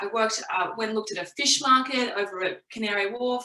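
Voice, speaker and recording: Speaking at a fairly quick pace with an Australian accent, a woman uses fairly high pitch and ordinary pitch variation. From Australia (Brisbane). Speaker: community engagement professional, careers speaker. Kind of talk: careers talk presentation. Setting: virtual event, online presentation.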